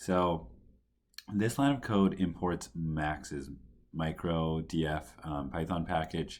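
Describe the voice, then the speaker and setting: A man speaks quietly in a very deep, low voice with ordinary pitch variation. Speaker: coding tutorial presenter. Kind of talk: tutorial. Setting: at home.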